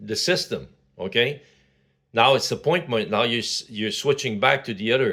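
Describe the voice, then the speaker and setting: A man with a Quebec accent, bright, sharp tone, lively intonation and moderate pace on a very clean recording with a silent background. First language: French. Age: 60s. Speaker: vlogger. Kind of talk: casual monologue. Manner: halting, many fillers.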